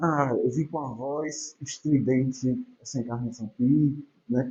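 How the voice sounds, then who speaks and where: Somewhat breathy and fairly high for a man, his voice moves at a very slow pace with ordinary pitch variation. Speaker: spiritist lecturer. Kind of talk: religious lecture. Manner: soft-spoken; conversational, informal.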